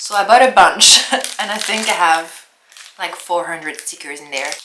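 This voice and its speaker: Amid audible room echo, a woman at medium pitch speaks at a moderate pace with lively intonation and big swings in loudness. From France. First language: French. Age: 30s. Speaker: lifestyle vlogger. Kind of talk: casual vlog narration. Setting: at home.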